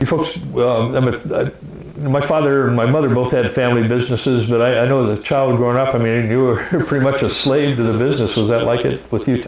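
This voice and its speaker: A man talks at a very fast pace and medium pitch with fairly even intonation. His loudness stays very even over noticeable background noise. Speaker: interviewer. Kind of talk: casual interview talk.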